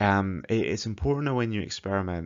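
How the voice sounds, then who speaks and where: The pace is fairly quick. It is a man talking. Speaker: public speaking coach. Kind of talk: tutorial.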